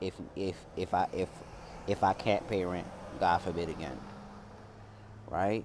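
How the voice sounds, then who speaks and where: Very deep, low male voice at a fairly slow pace, with ordinary pitch variation and long, frequent pauses. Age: 20s. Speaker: podcast host. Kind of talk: casual monologue.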